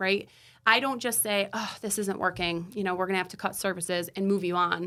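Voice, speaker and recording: Loud and quick-paced, a woman speaks at medium pitch with a bright, sharp tone in a very clean recording with a silent background. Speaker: therapist, counseling practice owner. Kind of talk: casual interview conversation. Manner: animated.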